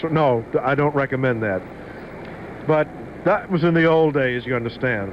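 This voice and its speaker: A man with a fairly high voice speaks with long, frequent pauses over noticeable background noise. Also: ordinary pitch variation, moderate pace. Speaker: radio DJ. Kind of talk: radio DJ banter between songs. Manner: casual, chatty.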